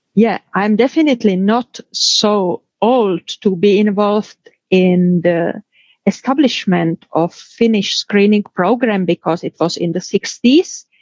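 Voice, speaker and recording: In a Czech accent, a woman speaks at a very slow pace and medium pitch with ordinary pitch variation, the sound dry and close with no echo. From Czech Republic. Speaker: pathologist and professor. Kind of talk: interview.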